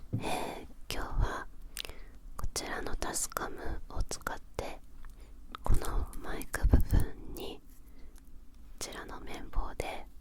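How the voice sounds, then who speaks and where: A woman whispers in a relaxed tone at a very slow pace, with long, frequent pauses. Her loudness swings widely, and background noise is noticeable. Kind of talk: ASMR whispered chat. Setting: studio. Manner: soft-spoken, slow, relaxed.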